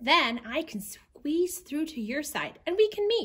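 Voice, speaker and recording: At a fairly slow pace, a put-on character voice is raised and projected, with very wide pitch swings. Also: woman, high pitch for a woman. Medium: read story. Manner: friendly.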